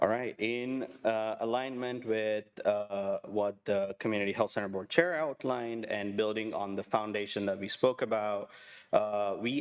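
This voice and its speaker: At a fairly slow pace, a man with a non-native accent talks at a fairly low pitch and fairly even intonation. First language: not English. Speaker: health center administrator. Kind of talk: budget presentation. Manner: halting, many fillers.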